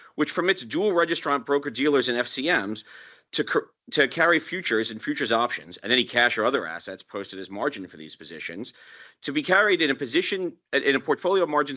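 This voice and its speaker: This man's fairly high voice moves in very wide pitch swings, with vocal fry running through it. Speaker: broker-dealer executive, roundtable panelist. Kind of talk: panel discussion. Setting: roundtable with live audience. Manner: formal.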